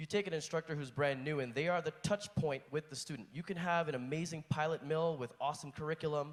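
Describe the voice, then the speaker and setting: Talking at a very fast pace, a man delivers his words. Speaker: flight instructor asking a question. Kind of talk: audience question at conference panel. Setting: conference hall. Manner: reading from notes.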